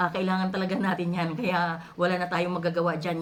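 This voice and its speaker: A woman speaks with a fairly low pitch. There is audible room echo and noticeable background noise. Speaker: overseas worker vlogger. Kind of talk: opinion vlog monologue. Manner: halting, many filler sounds.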